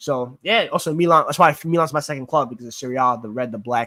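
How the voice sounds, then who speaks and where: Very fast and bright, sharp in tone, a man speaks with a strong New York accent and ordinary pitch variation. The sound is dry and close, with no echo. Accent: Queens New York accent, strong. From New York, Queens (born in Greece). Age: 20s. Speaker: sports YouTuber. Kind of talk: live Q&A chat reading comments. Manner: casual, filler-heavy.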